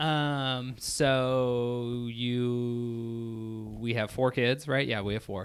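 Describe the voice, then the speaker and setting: Speaking at a very slow pace yet with hardly any pauses, a man with a Midwestern US accent keeps a medium pitch and a monotone, flat intonation. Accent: US Midwest. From Indiana, Crown Point. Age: 30s. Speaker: host's husband. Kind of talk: casual chat.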